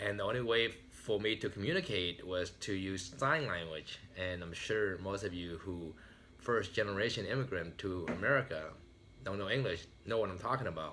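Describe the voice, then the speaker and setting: With a Vietnamese accent, this man has a fairly low pitch, a bright, sharp tone and ordinary pitch variation. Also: moderate pace. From Vietnam, raised in US from age ten. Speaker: motivational speaker. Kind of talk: motivational speech.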